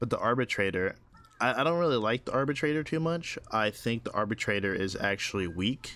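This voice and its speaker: Here a man speaks at a medium pitch in a bright, sharp tone. His pace is fairly quick and his intonation lively. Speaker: gaming video creator. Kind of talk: casual gameplay commentary. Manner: stuttering, repetitive.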